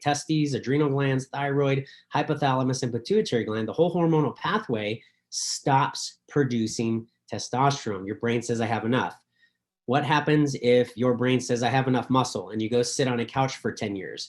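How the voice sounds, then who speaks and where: A man with a medium pitch and ordinary pitch variation talks over a quiet background. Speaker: doctor presenting a supplement. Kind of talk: presentation on a video call. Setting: video call with screen share. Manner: fast; animated.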